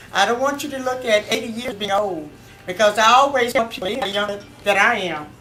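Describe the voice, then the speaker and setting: A woman talks at a fairly quick pace, her fairly high pitch showing ordinary pitch variation. Noticeable background noise sits behind her voice. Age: 80s+. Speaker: family member giving a toast. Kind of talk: birthday party speech. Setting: party with audience.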